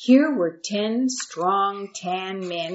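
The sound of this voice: Unforced reading voice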